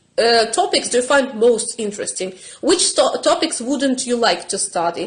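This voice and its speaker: Audible room echo surrounds a woman speaking at a moderate pace. Her high pitch makes very wide swings. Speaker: teacher trainer. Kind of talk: webinar lecture. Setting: online webinar.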